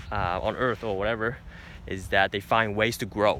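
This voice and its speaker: A man is speaking. His pace is moderate. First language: not English. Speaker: vlogger. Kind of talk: casual vlog monologue. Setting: outdoors in nature. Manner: hesitant, many fillers.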